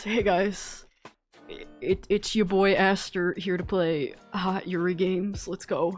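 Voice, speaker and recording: Over music in the background, a woman in a raspy, put-on character voice speaks at medium pitch and a fairly slow pace with monotone, flat intonation. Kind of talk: exaggerated man voice.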